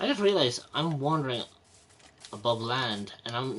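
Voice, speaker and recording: With an Irish accent, a man talks at a moderate pace using lively intonation. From Republic of Ireland. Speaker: gaming streamer. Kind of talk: live gameplay commentary. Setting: livestream. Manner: halting, frequent repeated words.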